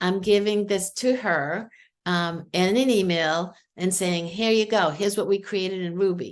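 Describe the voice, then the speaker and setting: A medium-pitched woman with a Boston accent, at a moderate pace with ordinary pitch variation. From New England, Boston. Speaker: AI tool demonstrator. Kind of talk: screen-share tutorial. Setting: video call. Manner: animated.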